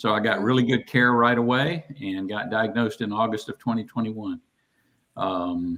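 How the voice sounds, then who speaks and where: A Southern US accent at a moderate pace, with ordinary pitch variation. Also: man, medium pitch for a man. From US South. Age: 60s. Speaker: guest with Parkinson's disease. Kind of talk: casual chat.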